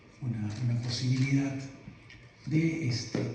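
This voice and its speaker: In a room with audible echo, a man speaks at a medium pitch with fairly even intonation. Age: 60s. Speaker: conference speaker, retired mining executive and professor. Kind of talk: keynote lecture. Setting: conference hall with audience. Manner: halting, many fillers.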